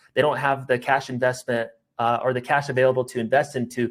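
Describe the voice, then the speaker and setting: Speech pours out very fast from a man. His voice sits at medium pitch with fairly even intonation. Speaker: sales recruiting trainer. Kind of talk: webinar presentation. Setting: online webinar.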